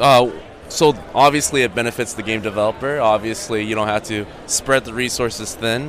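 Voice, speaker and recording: With noticeable background noise behind him, a man speaks at a moderate pace and medium pitch with fairly even intonation. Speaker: interviewer at event. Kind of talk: casual interview. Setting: trade show floor.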